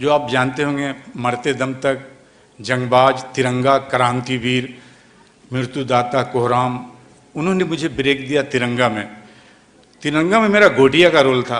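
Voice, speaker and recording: A man with a medium-pitched voice talks with long, frequent pauses. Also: ordinary pitch variation. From West Bengal (Kolkata). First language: Bengali (speaking Hindi). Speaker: film actor. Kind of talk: speech at event.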